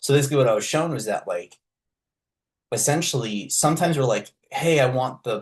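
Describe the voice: The voice carries a slightly husky edge. The pace is fairly quick. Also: man, medium pitch for a man, lively intonation.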